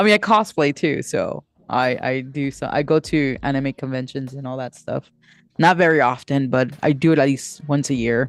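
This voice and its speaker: Ordinary pitch variation in an unnamed speaker's voice with a Spanish accent, over a quiet background. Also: woman, very deep, low pitch for a woman, moderate pace. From United States, Dominican family. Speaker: livestreamer and writer. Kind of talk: casual livestream chat. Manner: halting, many fillers and restarts.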